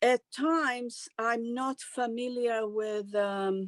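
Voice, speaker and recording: In a very clean, dry, close recording with no echo and a silent background, a woman with a Romanian accent speaks at a fairly high pitch with ordinary pitch variation. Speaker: actress and singer. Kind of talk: interview. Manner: halting.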